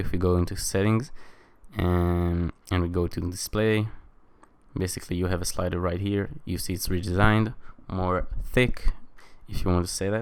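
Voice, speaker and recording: A man with a non-native accent speaks in a very deep, low voice. His intonation is flat and monotone, and the recording is very clean with a silent background. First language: not English. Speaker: tech reviewer. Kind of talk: tutorial. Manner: casual, many fillers.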